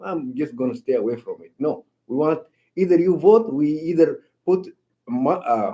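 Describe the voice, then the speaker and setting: At a moderate pace and with a non-native accent, a man with a fairly high pitch and a dark, mellow tone speaks with lively intonation, big swings in loudness, and long, frequent pauses. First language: not English. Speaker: council member. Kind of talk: council meeting. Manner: halting, repeats words.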